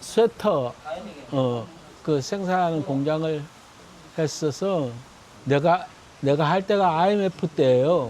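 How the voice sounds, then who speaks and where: A man's high-pitched voice with lively intonation, a very slow pace, long and frequent pauses, and noticeable background noise. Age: 70s. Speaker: retired factory owner. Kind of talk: street interview. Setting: outdoors in a park. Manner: casual, halting.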